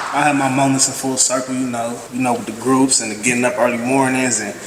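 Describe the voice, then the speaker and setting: Someone with an American accent speaks fairly quickly in a flat monotone, with audible room echo and noticeable background noise. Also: man. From Ohio, Columbus. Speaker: recovery program graduate. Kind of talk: graduation speech.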